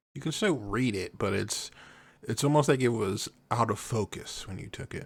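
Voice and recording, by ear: Over a silent background in a very clean recording, a man speaks at a fairly low pitch and a moderate pace with ordinary pitch variation.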